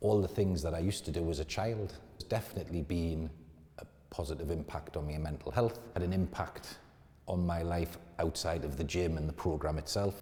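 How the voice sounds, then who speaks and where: A man with a very deep, low pitch and a dark, mellow tone talks at a fairly quick pace, somewhat breathy, with ordinary pitch variation. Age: 50s. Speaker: client testimonial, company director. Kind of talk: testimony. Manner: casual, slightly halting.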